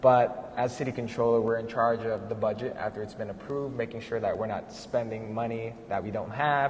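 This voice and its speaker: Noticeable background noise sits behind a man speaking with an American accent. He talks at a fairly quick pace and medium pitch with fairly even intonation. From San Fernando Valley, California. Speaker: political candidate, accountant, housing activist. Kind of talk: panel conversation. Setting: live event in a gallery.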